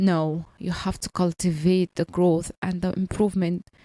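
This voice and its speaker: A woman with a non-native accent speaks at a very slow pace in a dark, mellow tone, in a dry, close sound with no echo on a very clean recording with a silent background. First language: not English. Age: 30s. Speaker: podcaster on language learning and career. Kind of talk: personal monologue. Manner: halting.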